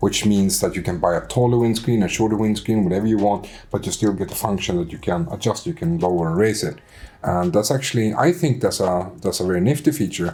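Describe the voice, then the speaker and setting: This man talks very fast in a Swedish accent, with lively intonation. His voice is fairly low in pitch, with a dark, mellow tone. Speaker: motorcycle vlogger. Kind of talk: casual chat. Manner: halting.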